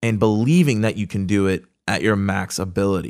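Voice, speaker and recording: A man's fairly low voice with an energetic, passionate tone, in a very clean recording with a silent background. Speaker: podcast host. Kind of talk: solo podcast recap and coaching talk. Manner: fast talker; energetic, passionate, animated.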